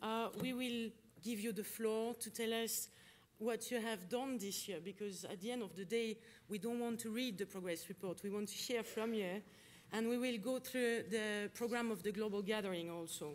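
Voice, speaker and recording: A woman's fairly high voice with a French accent, at a moderate pace with fairly even intonation. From France. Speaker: conference facilitator. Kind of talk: conference opening remarks. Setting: conference hall with audience and interpretation.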